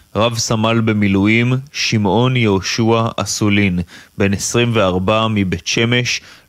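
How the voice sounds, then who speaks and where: A man's fairly low-pitched voice at a very slow pace, with fairly even intonation. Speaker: military correspondent. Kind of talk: news report.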